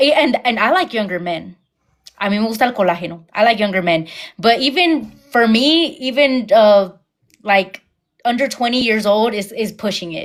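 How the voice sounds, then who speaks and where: A plain, everyday voice from a woman, fairly high in pitch, with lively intonation at a moderate pace. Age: 20s. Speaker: YouTuber, livestream host. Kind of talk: casual chat. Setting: YouTube livestream.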